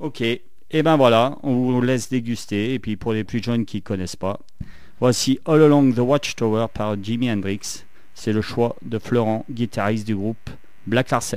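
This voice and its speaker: Speaking at a fairly slow pace, a man talks in a Saint-Étienne accent. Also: medium pitch for a man, ordinary pitch variation. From France, Saint-Étienne. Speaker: radio host. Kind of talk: radio show.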